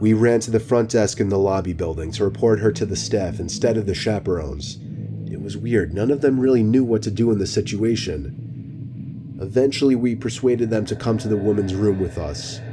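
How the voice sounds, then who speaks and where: A man talks at a fairly quick pace with a fairly low pitch and ordinary pitch variation. Noticeable background noise sits behind him. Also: hardly any pauses. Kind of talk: true-crime horror narration, first-person scary story told in a hushed, suspenseful way. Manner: earnest, uneasy storytelling tone.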